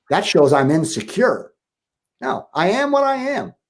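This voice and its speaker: In a very clean recording with a silent background, a man speaks at a moderate pace with an animated tone and lively intonation. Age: 60s. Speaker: relationship coach. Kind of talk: interview.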